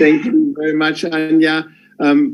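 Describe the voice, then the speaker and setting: The speaker talks with a German accent and ordinary pitch variation. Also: man. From Germany. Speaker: business executive. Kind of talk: farewell speech on video call. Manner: halting.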